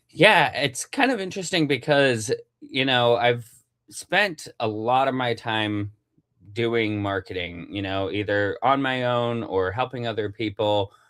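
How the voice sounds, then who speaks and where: A Western US accent on a very clean recording with a silent background. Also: man. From Utah. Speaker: CEO and marketing speaker. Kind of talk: interview. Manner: casual, many fillers.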